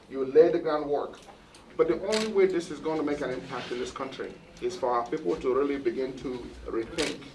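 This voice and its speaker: Over noticeable background noise, a man talks at a fairly quick pace and a fairly high pitch with ordinary pitch variation. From Nigeria. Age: 60s. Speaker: cardiologist. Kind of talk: interview at hospital opening.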